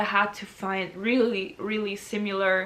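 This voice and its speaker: A woman speaks with a German accent at a medium pitch. Noticeable background noise is present. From Austria. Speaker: university student. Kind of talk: casual talk to camera.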